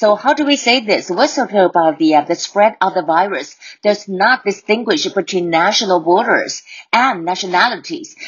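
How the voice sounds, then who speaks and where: A woman has a normal speaking voice at a medium pitch, with lively intonation. She keeps a fairly slow pace and very even loudness. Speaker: English teacher podcaster. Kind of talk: language lesson. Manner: code-switching Mandarin and English; repeats words for drilling.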